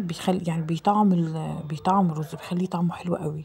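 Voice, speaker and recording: Noticeable background noise surrounds a woman with an Egyptian accent, her voice fairly low with ordinary pitch variation. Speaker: home cooking vlogger. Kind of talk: cooking vlog voiceover. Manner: casual, halting with repetitions.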